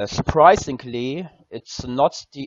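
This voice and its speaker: A man speaks with a German accent. His medium pitch shows ordinary pitch variation. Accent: German accent, noticeable. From Germany. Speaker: gaming content creator. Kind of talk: tutorial. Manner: halting, many fillers.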